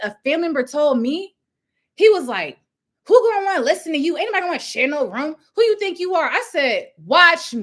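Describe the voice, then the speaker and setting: A woman shouts in an animated tone at a fairly quick pace, her pitch swinging very widely. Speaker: housing program founder and business coach. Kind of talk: live-stream business training. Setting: livestream, different setup. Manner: loud, yelling with passion.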